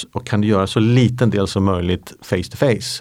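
A man is speaking. Behind him the background is silent, in a very clean recording. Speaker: company founder and CEO. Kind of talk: podcast interview. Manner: halting.

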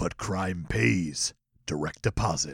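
A raspy, put-on character voice delivers its lines fairly slowly. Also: man. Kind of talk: dramatic trailer narration.

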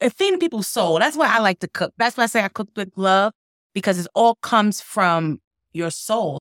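A woman with a New York accent speaks at a medium pitch with ordinary pitch variation. The recording is very clean, with a silent background. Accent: New York City. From Brooklyn, New York. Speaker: chef and food business owner. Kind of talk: interview.

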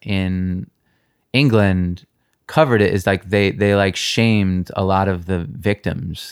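In a very clean recording with a silent background, a man with an unremarkable speaking voice talks at a fairly slow pace and a fairly low pitch. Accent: American. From New York. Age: 30s. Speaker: punk singer. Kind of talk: casual chat. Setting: host's apartment.

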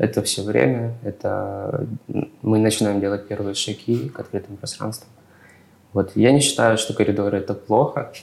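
Vocal fry runs through this man's fairly low-pitched voice. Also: ordinary pitch variation, moderate pace. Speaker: architect. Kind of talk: expert panel discussion. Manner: halting, many filler sounds.

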